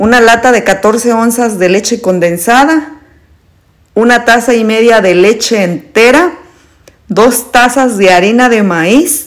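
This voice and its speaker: Over a quiet background, a woman speaks. She takes a very slow pace, with ordinary pitch variation. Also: very even loudness. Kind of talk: tutorial. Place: kitchen. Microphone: phone near.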